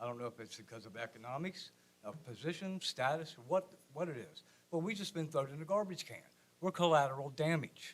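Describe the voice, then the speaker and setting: With lively intonation and big swings in loudness, a man with an American accent talks fairly quickly at a fairly high pitch in an unremarkable speaking voice. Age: 60s. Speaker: resident speaking at public comment. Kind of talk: public comment at city meeting. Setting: city commission meeting room.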